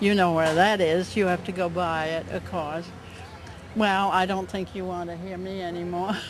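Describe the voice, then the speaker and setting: Audible room echo surrounds a woman speaking at a moderate pace, her fairly low pitch delivered in a monotone, flat intonation. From Vermont. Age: 90s. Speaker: longtime volunteer society member. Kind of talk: casual interview.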